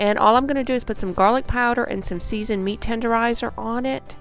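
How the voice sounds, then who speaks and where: Music plays in the background. Over it, a woman speaks with a fairly high voice. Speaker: home cook. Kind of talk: cooking tutorial talk to camera. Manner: casual, friendly.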